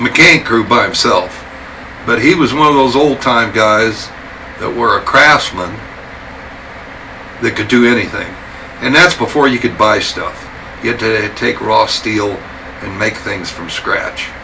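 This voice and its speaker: Speaking with an American accent at medium pitch, a man goes at a fairly slow pace with long, frequent pauses, amid audible room echo and noticeable background noise. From Wyoming, US. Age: 70s. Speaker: veteran motorcycle builder. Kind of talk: interview monologue, storytelling. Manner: talkative, rambling with fillers.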